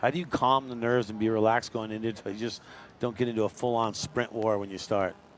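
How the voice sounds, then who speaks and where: With a plain, everyday voice, a man talks at a fairly quick pace and medium pitch, using ordinary pitch variation. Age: 60s. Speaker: sports commentator. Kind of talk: live sports commentary. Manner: conversational.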